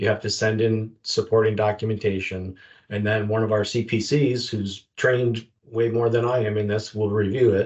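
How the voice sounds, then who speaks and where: At a moderate pace, a man talks in a fairly low, somewhat breathy voice with a monotone, flat intonation. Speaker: retired federal agent, investigations manager.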